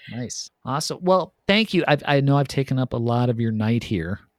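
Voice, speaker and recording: A man at a moderate pace with an Upper Midwest accent and lively intonation, in a dry, close sound with no echo on a very clean recording with a silent background. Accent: Upper Midwest American. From US Midwest, Madison, Wisconsin. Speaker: podcast host. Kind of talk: casual chat.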